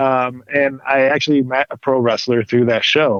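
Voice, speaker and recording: A man speaks with an American accent at a moderate pace. His intonation stays fairly even, and the sound is dry and close with no echo. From Michigan, Detroit area. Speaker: pro wrestler and actor. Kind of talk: interview. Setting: podcast. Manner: halting, many fillers.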